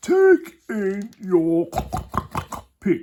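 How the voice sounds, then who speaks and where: A man's put-on character voice, high-pitched with lively intonation. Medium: read story.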